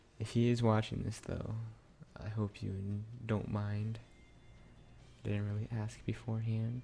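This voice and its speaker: A man's fairly low, somewhat breathy voice with a dark, mellow tone, monotone, flat intonation, a fairly slow pace and long, frequent pauses. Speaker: gaming video creator. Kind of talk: let's play commentary. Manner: quiet, trying not to wake others.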